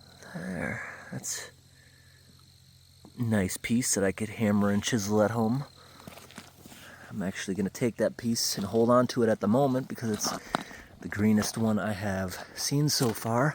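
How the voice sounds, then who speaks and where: A man at fairly low pitch and moderate pace, ordinary pitch variation, long, frequent pauses, and noticeable background noise. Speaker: vlogger exploring mines. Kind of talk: casual vlog narration. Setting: outdoors.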